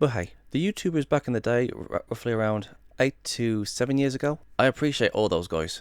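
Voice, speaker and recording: This man talks at a very fast pace, and the sound is dry and close with no echo. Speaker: YouTuber. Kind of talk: casual vlog monologue. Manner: stuttering, repeating himself.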